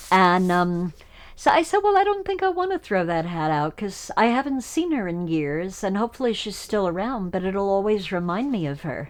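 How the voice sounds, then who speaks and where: A woman with an unremarkable speaking voice talks at a moderate pace in a medium pitch with lively intonation. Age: 60s. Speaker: documentary subject. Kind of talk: casual chat. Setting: at home.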